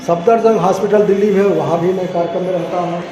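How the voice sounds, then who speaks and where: With a monotone, flat intonation, a man talks at a high pitch amid audible room echo and noticeable background noise. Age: 60s. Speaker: retired civil servant giving a motivational talk. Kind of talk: motivational speech.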